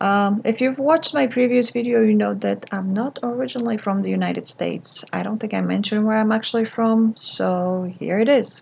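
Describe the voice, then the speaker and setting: Fairly quick speech with a Polish accent and hardly any pauses. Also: woman. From Poland. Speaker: art vlogger. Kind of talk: casual vlog monologue. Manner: hesitant, many fillers.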